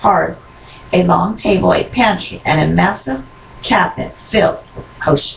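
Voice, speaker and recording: Noticeable background noise is present. A woman talks at a moderate speed. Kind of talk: scene-setting narration, read aloud.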